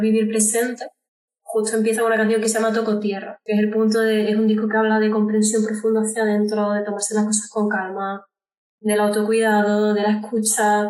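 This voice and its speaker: A woman talks at a fairly quick pace in a fairly high pitch. Her intonation stays monotone and flat. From Andalucía, Córdoba. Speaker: singer-songwriter. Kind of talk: interview.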